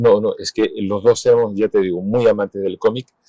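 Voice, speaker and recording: The voice has a dark, mellow tone and monotone, flat intonation, recorded with a dry, close sound and no echo. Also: man. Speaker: illustrator and cartoonist. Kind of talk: interview answer.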